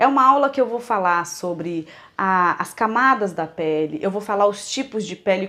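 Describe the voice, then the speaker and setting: With a bright, sharp tone, this woman's voice sits at a medium pitch. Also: lively intonation, moderate pace. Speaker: micropigmentation instructor. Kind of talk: online lecture; casual thank-you address to viewers.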